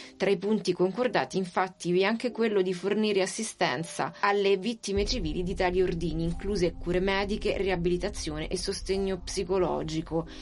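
Over noticeable background noise, a woman of medium pitch talks at a fairly quick pace with very even loudness, fairly even intonation and hardly any pauses. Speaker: radio reporter. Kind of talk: scripted narration.

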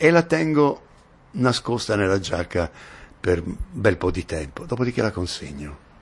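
With very wide pitch swings, a man speaks. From Turin, northern Italy. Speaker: actor. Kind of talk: interview. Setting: at his home.

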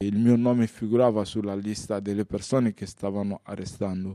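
Dark and mellow in tone, a man speaks at a moderate pace with a fairly low pitch and fairly even intonation, the sound dry and close with no echo. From Mali, Bamako. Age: 30s. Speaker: refugee, former political activist. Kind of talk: testimony.

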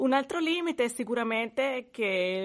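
A woman speaks at a moderate pace with a Spanish accent. Behind her the background is quiet. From Venezuela. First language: Spanish (speaking Italian). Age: 40s. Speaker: language student. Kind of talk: language lesson. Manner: halting.

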